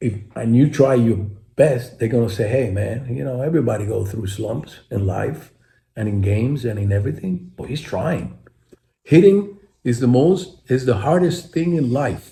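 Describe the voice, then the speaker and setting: A man talks at a moderate pace in a medium pitch, with a dark, mellow tone that is somewhat breathy. His intonation is lively, and the room echo is audible. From Puerto Rico. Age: 70s. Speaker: retired baseball player. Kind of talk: interview. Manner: animated.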